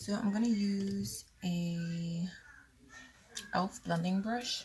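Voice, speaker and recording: At a very slow pace, a woman speaks with a medium pitch, ordinary pitch variation and a somewhat breathy voice. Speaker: beauty vlogger. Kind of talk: makeup tutorial. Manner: casual chatty.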